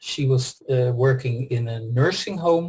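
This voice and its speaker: A man with a Dutch accent talks at a medium pitch, somewhat breathy, with ordinary pitch variation. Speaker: pharmacist and former pharma executive. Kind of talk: interview testimony. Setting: group call. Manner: hesitant, many fillers.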